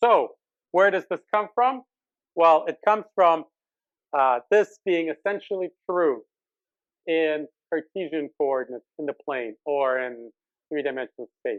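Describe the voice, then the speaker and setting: A man at a fairly high pitch with lively intonation, a fairly slow pace and long, frequent pauses, in a dry, close sound with no echo. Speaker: math lecturer. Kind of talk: lecture.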